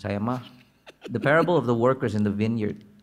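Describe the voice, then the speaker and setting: His pace is fairly quick. The man's pitch is medium and varies in an ordinary way. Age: 40s. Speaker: preacher. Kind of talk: sermon. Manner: casual, halting with fillers.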